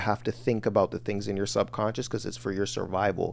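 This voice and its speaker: A man's fairly low voice carries vocal fry. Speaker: online business coach. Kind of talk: livestream lecture. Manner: fast.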